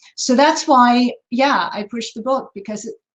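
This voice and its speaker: A woman speaks in a normal speaking voice. Her pace is moderate and her intonation fairly even. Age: 60s. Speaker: author and counselor. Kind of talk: Q&A answer in online presentation.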